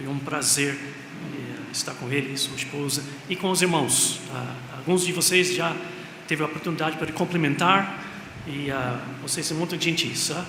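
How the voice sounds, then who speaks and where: Over noticeable background noise and audible room echo, a man talks at a moderate pace with a fairly high pitch and fairly even intonation. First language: English (speaking Portuguese). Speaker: missionary pastor. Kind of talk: sermon. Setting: church. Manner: halting.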